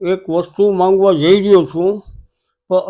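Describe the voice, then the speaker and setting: A man's high-pitched voice runs in a monotone with flat intonation. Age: 80s+. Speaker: elderly folk comedian and dholak artist. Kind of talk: interview appeal.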